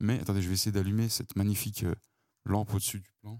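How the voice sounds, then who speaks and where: Very fast and dry, with a close sound and no echo, a man speaks at a fairly low pitch in a dark, mellow tone. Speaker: podcast host. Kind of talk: walking monologue. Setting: outdoors. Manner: hushed. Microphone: mic close to mouth.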